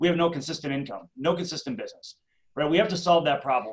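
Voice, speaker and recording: Speaking at a very fast pace, a man carries a slight Minnesota accent. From Minnesota, Twin Cities suburbs. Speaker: real estate coach. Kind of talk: interview.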